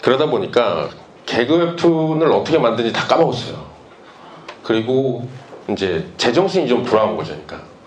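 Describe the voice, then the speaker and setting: A man speaks at a fairly quick pace with lively intonation and a medium pitch, stopping for long, frequent pauses. Noticeable background noise and audible room echo fill the recording. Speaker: webtoon artist. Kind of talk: conference talk.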